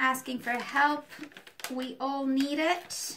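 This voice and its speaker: Noticeable background noise sits behind the recording. A woman speaks very slowly in a high voice. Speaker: art teacher. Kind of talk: tutorial.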